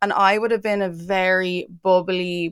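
Intonation stays monotone and flat in an Irish accent. The recording is very clean, with a silent background. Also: woman, dry, close sound with no echo. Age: 30s. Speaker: entertainment website founder and journalist. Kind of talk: casual interview.

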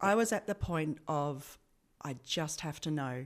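A woman with an Australian accent, a very deep, low pitch and lively intonation, at a very slow pace, on a very clean recording with a silent background. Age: 40s. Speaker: healthcare professional. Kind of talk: interview.

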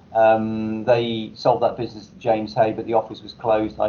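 A man talks at a moderate pace with fairly low pitch. His intonation is monotone and flat.

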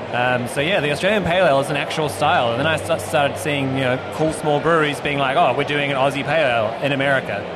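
A man talks very fast in a fairly high voice, with hardly any pauses and ordinary pitch variation. Noticeable background noise and audible room echo surround him. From New Zealand. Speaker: head brewer. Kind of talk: casual chat. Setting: outdoors.

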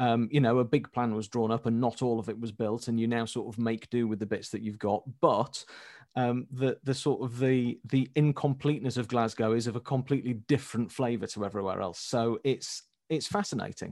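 A man speaks at a fairly quick pace with a Yorkshire accent. His pitch is medium, and the recording is very clean with a silent background. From Leeds, northern England. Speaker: road website author. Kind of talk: casual chat.

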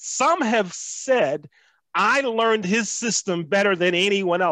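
Over a very clean recording with a silent background, a man uses a raised, projected voice with a bright, sharp tone at a very slow pace. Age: 50s. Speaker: race relations trainer. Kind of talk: casual chat. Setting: studio.

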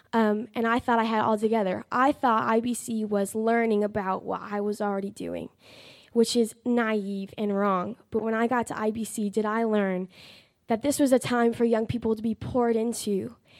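A woman speaks at a moderate pace in a fairly high pitch with monotone, flat intonation, on a very clean recording with a silent background. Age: young (19). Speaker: Bible college student. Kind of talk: testimony.

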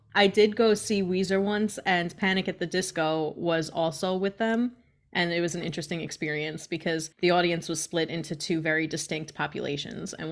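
A woman with an unremarkable speaking voice talks at a moderate pace in a fairly low pitch. The recording is very clean, with a silent background. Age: 30s. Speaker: podcast co-host. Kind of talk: casual chat. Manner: laughs often.

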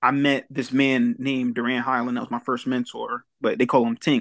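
In an ordinary speaking voice, a man with an American accent talks at a moderate pace and medium pitch with fairly even intonation, in a dry, close sound with no echo against a quiet background. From Delaware, US. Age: young. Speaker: personal development coach. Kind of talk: casual chat.

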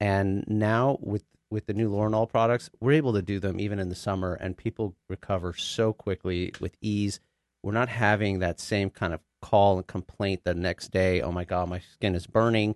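Against a quiet background, a man talks in an ordinary speaking voice at a fairly low pitch and moderate pace with fairly even intonation, the sound dry and close with no echo. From Texas, Dallas area. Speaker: physician. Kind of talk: interview. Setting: studio.

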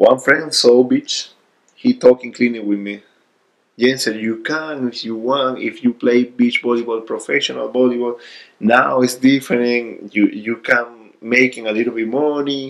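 Speaking at a moderate pace, a man talks with a Venezuelan accent. His pitch sits in the medium range, and his intonation stays fairly even. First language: Spanish. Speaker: volleyball player. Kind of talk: casual interview. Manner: halting.

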